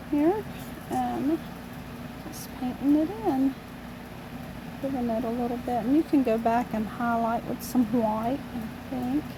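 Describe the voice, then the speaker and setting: Against noticeable background noise, a woman with a high pitch speaks at a fairly slow pace, using ordinary pitch variation and long, frequent pauses. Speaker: amateur painter, channel owner. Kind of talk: painting tutorial. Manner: casual, chatty with fillers.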